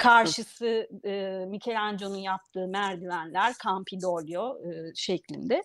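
A woman with a plain, everyday voice talks at a fairly slow pace with hardly any pauses. Her medium pitch carries fairly even intonation. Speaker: food writer and journalist. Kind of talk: interview.

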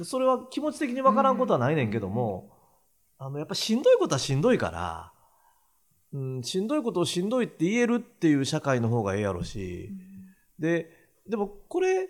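Using a Kansai accent, a man with a high pitch talks at a fairly quick pace, his pitch swinging very widely. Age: 60s. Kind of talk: casual chat.

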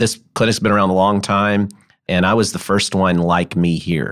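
On a very clean recording with a silent background, a man with a Memphis accent talks at a moderate pace in a fairly low pitch. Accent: US Southern (Memphis). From Memphis, Tennessee. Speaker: sports medicine doctor. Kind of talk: interview. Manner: halting, with frequent repetitions.

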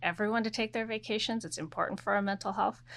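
A woman speaks with an American accent and vocal fry. The recording is very clean, the background silent. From Oregon, US Pacific Northwest. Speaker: corporate general counsel. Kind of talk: interview.

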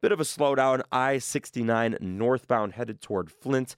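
A man with a normal speaking voice at a moderate pace, on a very clean recording with a silent background, dry and close with no echo. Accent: American. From Michigan. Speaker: college radio host. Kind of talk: radio DJ patter. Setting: studio. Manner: upbeat, bantering.

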